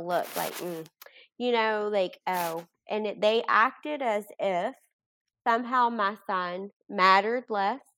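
Bright and sharp in tone, a woman with a Kentucky accent speaks fairly slowly at a medium pitch with ordinary pitch variation, in a very clean recording with a silent background. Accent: Kentucky Southern US. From Kentucky, Bardstown. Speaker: bereaved mother and support group founder. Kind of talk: podcast interview.

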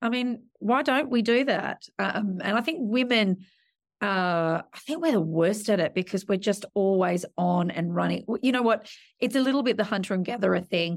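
In a very clean recording with a silent background, a woman with an Australian accent speaks at a medium pitch with lively intonation and very even loudness. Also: moderate pace. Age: 40s. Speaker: media executive. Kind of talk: interview.

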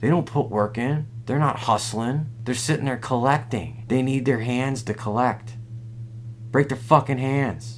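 A man's somewhat breathy, medium-pitched voice at a fairly slow pace with fairly even intonation. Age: 40s. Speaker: comedy podcast host. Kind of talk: comedic casual chat.

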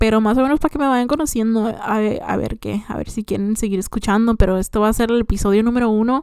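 On a very clean recording with a silent background, a woman with a fairly high pitch talks at a very fast pace with hardly any pauses and fairly even intonation. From Mexico, Michoacán (Morelia), raised in US from age six. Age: 20s. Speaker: podcaster, young mother. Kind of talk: casual personal monologue. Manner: chatty, informal, many fillers.

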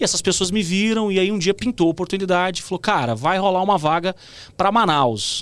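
On a very clean recording with a silent background, a man with a high voice speaks at a fairly quick pace. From Goiânia, Brazil. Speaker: TV presenter and journalist. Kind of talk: casual interview chat.

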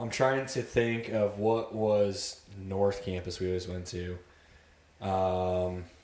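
Very slow speech from a man with an American accent, fairly even in intonation, with audible room echo. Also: fairly low pitch for a man. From Ohio, Cleveland and Columbus suburbs. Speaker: army special forces soldier. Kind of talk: casual chat. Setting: home basement.

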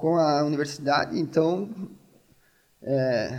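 The speaker is a man. His pitch is fairly high. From Brazil, Rio Grande do Sul (gaúcho). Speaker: neuroscience researcher, pharmacist. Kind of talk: casual interview.

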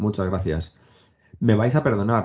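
Using an unremarkable speaking voice, a man talks at a moderate pace with a fairly low pitch and ordinary pitch variation. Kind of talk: casual chat.

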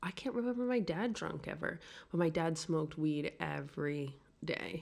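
Speaking at a moderate pace with a New York accent, a woman uses a fairly low pitch and lively intonation. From New York City. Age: 40s. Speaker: podcast guest. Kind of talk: casual chat. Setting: apartment in Paris.

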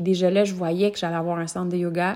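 A woman with a Quebec accent speaks in a warm tone at medium pitch. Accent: Québécois French. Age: 20s. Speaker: yoga teacher and podcast host. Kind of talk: personal storytelling monologue. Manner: warm, casual with frequent hesitations.

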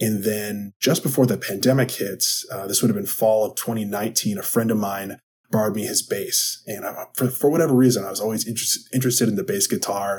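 Speaking at a fairly quick pace, a man with a medium pitch talks with an American accent. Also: ordinary pitch variation. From Wisconsin. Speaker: podcast host and sports psychology coach. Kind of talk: solo podcast monologue.

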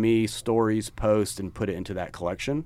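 With an American accent and a normal speaking voice, a man talks at a fairly quick pace in a fairly low pitch. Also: very clean recording, silent background. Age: 40s. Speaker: podcast co-host, apparel business co-founder. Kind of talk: casual chat.

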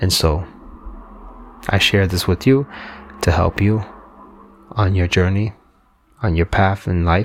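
Noticeable background noise sits behind this recording. A man speaks at a very slow pace in a very deep, low pitch. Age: 40s. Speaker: podcast host. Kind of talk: solo monologue, personal reflection.

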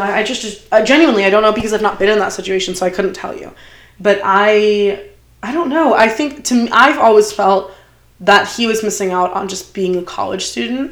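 Against noticeable background noise, a woman talks at a fairly quick pace with medium pitch and ordinary pitch variation. Her loudness swings widely. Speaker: podcast host. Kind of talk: casual chat.

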